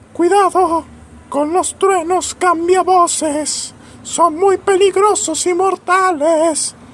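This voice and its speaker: Extremely high in pitch, the put-on character voice drags along at a very slow pace. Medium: comedy sketch. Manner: deadpan, formal.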